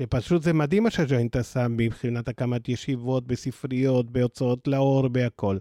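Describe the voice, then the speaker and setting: A man with an Argentine accent speaks with hardly any pauses and very even loudness, his medium-pitched voice dark and mellow in tone, in a very clean recording with a silent background and a dry, close sound with no echo. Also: ordinary pitch variation, moderate pace. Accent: Argentine Spanish accent in Hebrew. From Argentina. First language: Spanish (speaking Hebrew). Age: 60s. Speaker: nonprofit program director. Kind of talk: interview.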